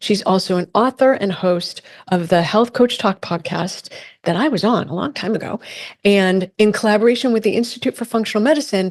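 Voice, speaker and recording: With a plain, everyday voice, a woman of medium pitch talks at a fairly quick pace and ordinary pitch variation. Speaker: podcast host. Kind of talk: podcast intro. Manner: upbeat.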